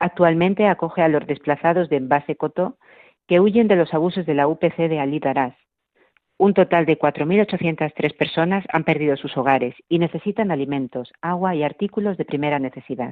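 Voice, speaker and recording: Delivered at a moderate pace, this is an unremarkable speaking voice whose pitch varies in an ordinary way. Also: woman, fairly low pitch for a woman. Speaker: radio host. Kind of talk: religious radio program with news reading. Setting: radio studio. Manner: formal.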